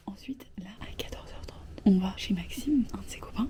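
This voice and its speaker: A woman races along at a very fast pace while noticeable background noise carries on. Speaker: vlogger. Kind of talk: casual vlog talk. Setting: bathroom. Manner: whispering.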